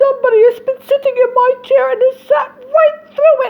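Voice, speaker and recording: This is a put-on character voice. Its pitch is extremely high, and the pace is moderate. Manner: crying out, plaintive.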